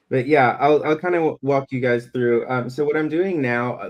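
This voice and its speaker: A man speaks with a slight Southern US accent. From US South, Alabama (Birmingham). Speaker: comic illustrator. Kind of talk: live-stream drawing demo. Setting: live stream. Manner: halting, many fillers.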